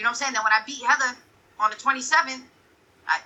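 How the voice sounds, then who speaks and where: With an American accent, a woman talks at a high pitch with ordinary pitch variation. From Connecticut, US. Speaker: professional boxer. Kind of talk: casual interview.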